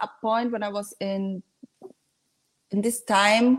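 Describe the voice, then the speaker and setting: A woman with a Spanish accent, speaking at a fairly high pitch and a very slow pace. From Dominican Republic, then Spain. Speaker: guest. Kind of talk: casual chat. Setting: video call.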